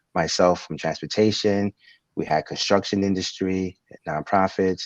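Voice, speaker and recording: A man with a New York accent speaks in a very deep, low pitch and monotone, flat intonation. The sound is dry and close with no echo, against a quiet background. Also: moderate pace. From Brooklyn, New York. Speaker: transit company executive. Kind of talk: interview.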